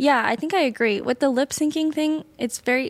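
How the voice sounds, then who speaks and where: A woman with a plain, everyday voice speaks in a North American accent at a moderate pace. Her intonation is fairly even, and the very clean recording has a silent background and a dry, close sound with no echo. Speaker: video editor and podcast producer. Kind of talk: casual chat.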